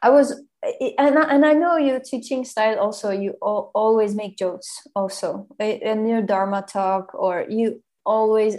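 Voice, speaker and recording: At a fairly slow pace, a woman speaks in a fairly high voice with a dark, mellow tone and ordinary pitch variation. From Germany. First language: German. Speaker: podcast host. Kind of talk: casual chat.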